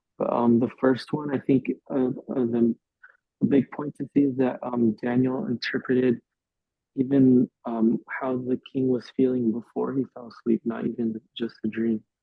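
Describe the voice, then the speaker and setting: Speaking very slowly, a man holds a medium pitch in a monotone, flat intonation. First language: English (speaking Spanish). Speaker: youth Bible study teacher. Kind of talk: Bible study discussion. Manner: hesitant, many fillers.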